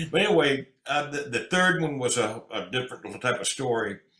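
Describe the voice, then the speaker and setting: A man's fairly high voice for a man, full of very wide pitch swings at a moderate pace, amid noticeable background noise. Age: 70s. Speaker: country singer and entertainer. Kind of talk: interview.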